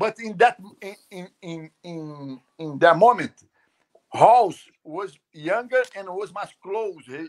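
Speaking at a very slow pace, a man uses a high pitch and lively intonation. His speech has long, frequent pauses. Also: big swings in loudness. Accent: Brazilian. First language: Portuguese. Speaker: jiu-jitsu master. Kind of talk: casual live interview. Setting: video call. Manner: halting.

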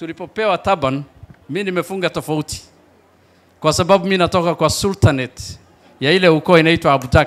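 Moderate pace and ordinary pitch variation. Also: man. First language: Somali (speaking Swahili). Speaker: county politician. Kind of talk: public speech. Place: stage. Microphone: handheld.

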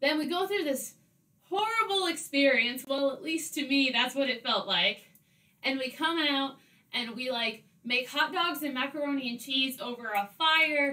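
A woman speaks in a raised, projected voice at a moderate pace with lively intonation. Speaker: caving vlogger. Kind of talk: casual vlog storytelling. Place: home room.

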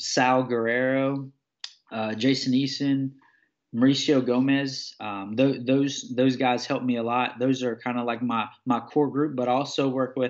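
A man at medium pitch with monotone, flat intonation and a fairly slow pace, against a quiet background. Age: 30s. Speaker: mixed martial arts fighter. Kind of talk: interview. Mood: relaxed, friendly. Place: home room. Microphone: webcam.

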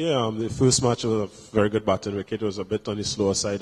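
With a somewhat breathy, fairly low voice, a man talks very fast in a monotone, flat delivery. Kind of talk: interview answer. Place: hall. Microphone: handheld.

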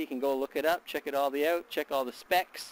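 The sound is dry with no echo as a man speaks at a fairly quick pace with ordinary pitch variation. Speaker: product reviewer. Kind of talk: casual vlog chat. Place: garden. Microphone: phone near.

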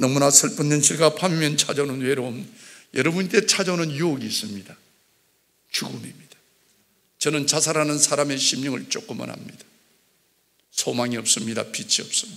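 A man with a Gyeongsang accent, fairly high in pitch, with vocal fry, lively intonation and a fairly quick pace. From South Gyeongsang, Korea (Jinju). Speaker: church elder giving testimony. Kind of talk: testimony. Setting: church. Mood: earnest, somber subject. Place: church. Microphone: podium.

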